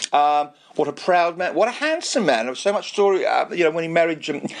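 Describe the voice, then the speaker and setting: Moderate pace with noticeable background noise. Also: man. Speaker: radio presenter. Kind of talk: radio show with interviews. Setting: studio. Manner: animated.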